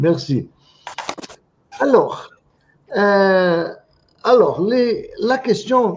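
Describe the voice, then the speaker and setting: Speaking very slowly with an non-native accent, a man leaves long, frequent pauses. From Brazil. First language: Portuguese (speaking French). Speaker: psychotherapist and teacher. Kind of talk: lecture. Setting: video call webinar. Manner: halting, repeats words.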